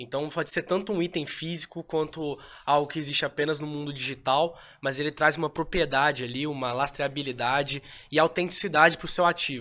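Fairly quick and fairly even in intonation, a man talks in an unremarkable speaking voice at a fairly high pitch. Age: young. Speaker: NFT company tech specialist. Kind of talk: casual chat.

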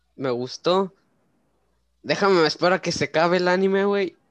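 A man with a Mexican accent and a high pitch speaks at a moderate pace, the sound dry and close with no echo. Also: long, frequent pauses. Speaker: podcast host. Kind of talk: casual chat.

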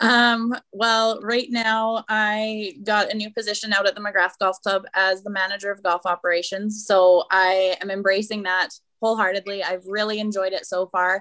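Speaking with hardly any pauses, a woman with a Canadian accent has a bright, sharp tone and monotone, flat intonation, recorded with a dry, close sound and no echo. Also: medium pitch for a woman, moderate pace. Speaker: golf professional. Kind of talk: casual chat.

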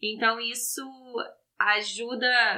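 In a Rio de Janeiro accent, a woman speaks at fairly high pitch with a bright, sharp tone. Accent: Rio de Janeiro (carioca). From Brazil, Rio de Janeiro. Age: 30s. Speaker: fashion graduate, Brazilian immigrant. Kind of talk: casual chat. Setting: in person in a room with hosts.

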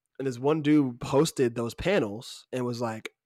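In a normal speaking voice, a man talks at a moderate pace with ordinary pitch variation, on a very clean recording with a silent background and a dry, close sound with no echo. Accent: American. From Georgia (US South). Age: 20s. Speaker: podcast host. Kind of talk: casual chat.

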